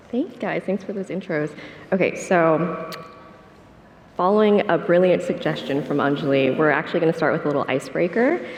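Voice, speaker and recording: Over noticeable background noise, a soft-spoken woman with a fairly low pitch and ordinary pitch variation talks at a fairly quick pace with long, frequent pauses. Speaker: panel moderator. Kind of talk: conference panel moderation. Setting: conference stage with audience.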